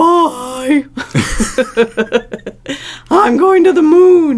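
The speaker puts on a high-pitched character voice with a playful tone. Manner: silly, playful.

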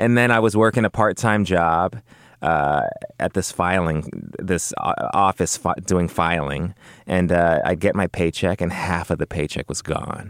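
With a Californian accent, a man speaks at a fairly slow pace. His pitch is very deep and low, with ordinary variation. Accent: General American, Californian. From Los Angeles, West LA. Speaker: actor. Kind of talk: casual chat.

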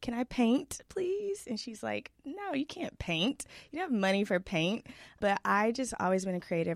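A woman with an ordinary speaking voice, lively intonation and a fairly slow pace, in a dry, close sound with no echo. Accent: American. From Texas (Dallas area). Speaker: influencer. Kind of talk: interview conversation.

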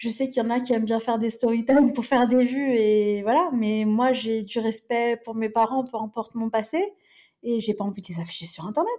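A woman with a normal speaking voice talks at a fairly quick pace. Her pitch is fairly high, with ordinary pitch variation. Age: 30s. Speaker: influencer. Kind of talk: casual chat.

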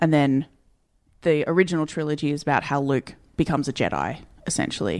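Delivered in an Australian accent, the speech runs at a very fast pace yet has long, frequent pauses. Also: woman, very deep, low pitch for a woman, fairly even intonation, quiet background. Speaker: podcast co-host. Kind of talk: casual comedy chat.

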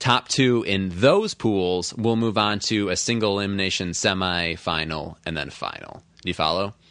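Against a quiet background, a man with a fairly low pitch speaks in a normal speaking voice at a moderate pace, with ordinary pitch variation and hardly any pauses. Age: 20s. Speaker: sports podcast host. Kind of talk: casual chat.

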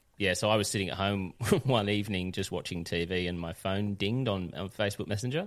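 An Australian accent with ordinary pitch variation, on a very clean recording with a silent background. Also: man. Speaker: radio host turned true crime podcaster. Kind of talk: interview and scripted podcast narration.

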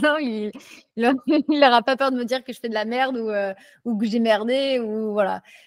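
It's an unremarkable speaking voice with ordinary pitch variation at a moderate pace. The sound is dry and close with no echo, on a very clean recording over a silent background. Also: woman. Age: 20s. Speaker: street workout athlete. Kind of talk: casual chat.

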